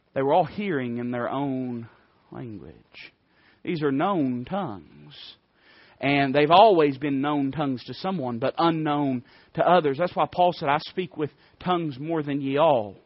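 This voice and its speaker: An Appalachian accent at a fairly slow pace, with ordinary pitch variation and long, frequent pauses. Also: man, fairly high pitch for a man. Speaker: preacher. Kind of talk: sermon. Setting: church.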